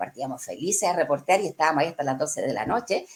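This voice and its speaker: A woman's voice with vocal fry. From Chile. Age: 60s. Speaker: journalist. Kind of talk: interview answer.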